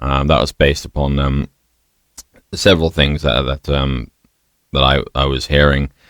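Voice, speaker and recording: With a British accent, a man speaks at a moderate pace in a very deep, low voice, monotone and flat, the sound dry and close with no echo. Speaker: bar owner. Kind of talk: interview conversation. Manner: hesitant, many fillers.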